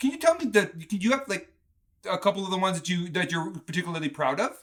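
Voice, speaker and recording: Enthusiastic in tone, a man speaks at a very fast pace. His voice is high for a man, with lively intonation. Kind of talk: podcast interview host.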